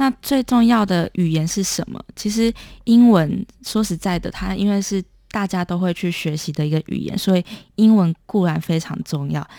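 In a very clean recording with a silent background, a woman speaks at a medium pitch with a dark, mellow tone and a dry, close sound with no echo. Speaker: documentary filmmaker. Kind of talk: interview.

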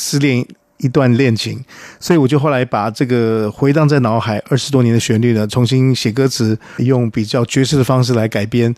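A man with a normal speaking voice talks at medium pitch with fairly even intonation. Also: moderate pace. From Taiwan. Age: 50s. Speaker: singer-songwriter. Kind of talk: interview.

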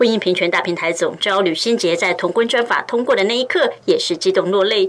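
A woman at a medium pitch and a fairly quick pace, with ordinary pitch variation, big swings in loudness and hardly any pauses, over noticeable background noise. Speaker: news reporter. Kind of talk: news report.

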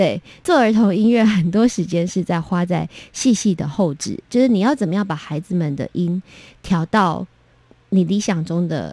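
The speaker has a Taiwanese accent and a dark, mellow tone, with ordinary pitch variation. Delivery is at a moderate pace on a very clean recording with a silent background. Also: woman, medium pitch for a woman. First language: Taiwanese Hokkien (speaking Chinese). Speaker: children's music producer. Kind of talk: interview.

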